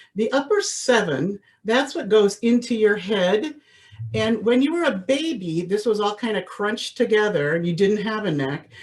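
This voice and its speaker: A woman's fairly high voice with lively intonation at a moderate pace. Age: 60s. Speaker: voice teacher. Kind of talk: lecture. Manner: animated.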